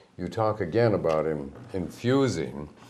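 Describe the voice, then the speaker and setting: Audible room echo surrounds a man with an American accent whose very deep, low voice moves with ordinary pitch variation. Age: old. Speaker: local TV show host. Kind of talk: interview.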